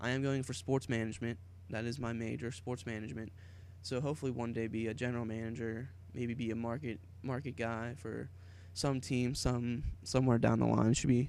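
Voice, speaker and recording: In an American accent, a man speaks at a fairly quick pace and a medium pitch. His pitch varies in an ordinary way, and there is audible room echo. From Pittsburgh, western Pennsylvania, US. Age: 20s. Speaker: YouTuber, college student. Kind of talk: casual vlog monologue.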